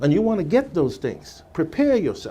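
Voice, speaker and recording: With a slight Virgin Islands accent, a man speaks at a moderate pace in a dark, mellow tone with very wide pitch swings. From US Virgin Islands. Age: 60s. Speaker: former radio salesperson. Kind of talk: radio interview.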